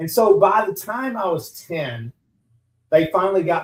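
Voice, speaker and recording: A man speaks in a Texan accent. His pitch swings very widely. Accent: Texan Southern US. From US South, Southeast Texas. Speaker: business owner, transplant survivor. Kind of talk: radio interview. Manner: halting, many repetitions and fillers.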